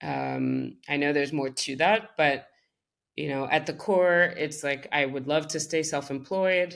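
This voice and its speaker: In a French accent, the speaker talks at a fairly slow pace with fairly even intonation. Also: woman, very deep, low pitch for a woman. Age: 30s. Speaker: creative director. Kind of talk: interview conversation.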